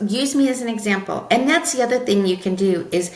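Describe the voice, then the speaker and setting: A woman with an animated tone speaks at a moderate pace, with audible room echo and noticeable background noise. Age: 50s. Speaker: marketing consultant. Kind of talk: podcast interview.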